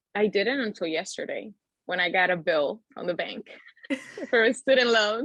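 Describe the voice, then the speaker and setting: Pausing long and often, a woman with a fairly high pitch talks at a moderate pace with ordinary pitch variation. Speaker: podcast guest, recent college graduate. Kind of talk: casual interview chat. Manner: loud, expressive.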